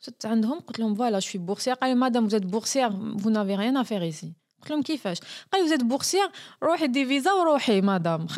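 A woman with an Algerian accent, fairly high-pitched, at a very fast pace with very wide pitch swings, on a very clean recording with a silent background. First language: Algerian Arabic (speaking French). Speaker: journalist and video maker. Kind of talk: interview.

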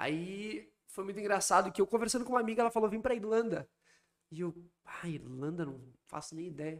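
A man talks at a fairly quick pace in a high pitch with lively intonation. His loudness swings widely, and he takes long, frequent pauses. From southern Brazil, Porto Alegre. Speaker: travel miles and credit card mentor. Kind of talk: casual interview chat.

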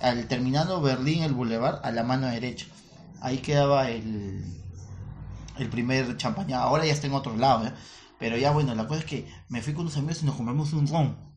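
Speaking at a fairly quick pace broken by long, frequent pauses, a man with a medium pitch and ordinary pitch variation sounds somewhat breathy, with audible room echo. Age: 30s. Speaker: comedian, podcast co-host. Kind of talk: casual chat.

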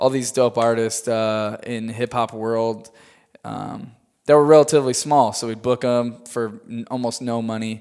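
A man talks at medium pitch with monotone, flat intonation and big swings in loudness. Music plays in the background. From US Midwest, Chicago area, Illinois. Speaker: tour manager and production company owner. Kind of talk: casual interview. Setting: studio in Hollywood.

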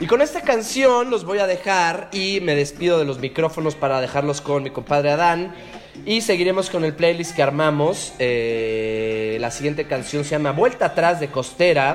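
A man's fairly high-pitched voice with lively intonation at a moderate pace, over noticeable background noise. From Mexico City, raised from age 3 (born Colombia). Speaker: musician, drummer. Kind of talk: radio guest DJ presenting music. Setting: remote line from Mexico City. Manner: playful, animated.

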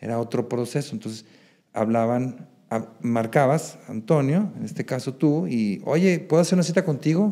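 With lively intonation, a man talks in a dark, mellow tone. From Mexico, Guadalajara. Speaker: real estate agent. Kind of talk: interview.

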